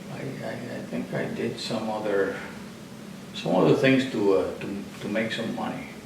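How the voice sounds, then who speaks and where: A man with long, frequent pauses over noticeable background noise. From Puerto Rico. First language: Spanish. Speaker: retired accountant and artist. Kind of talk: interview answer.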